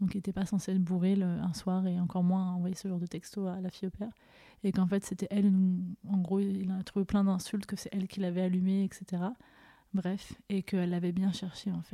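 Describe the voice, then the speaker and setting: Fairly quick, flat, monotone speech from a woman with a dark, mellow tone. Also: medium pitch for a woman. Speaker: podcast host sharing her story. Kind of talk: personal testimony. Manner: emotional, voice tone shifting.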